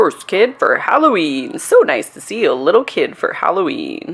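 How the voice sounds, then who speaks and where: High pitch in a put-on character voice at a moderate speed. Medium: read story.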